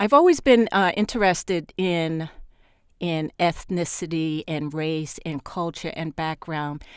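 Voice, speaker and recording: Against a silent background in a very clean recording, a woman with an American accent talks at a fairly slow pace and a fairly low pitch. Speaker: media consultant and former journalist. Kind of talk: interview. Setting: studio at a journalism school. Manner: hesitant, many fillers.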